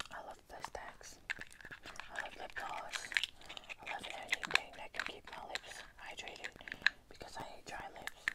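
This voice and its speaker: A woman speaks at a moderate pace. Her delivery has long, frequent pauses. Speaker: ASMR creator. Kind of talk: ASMR video. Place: home room. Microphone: phone near.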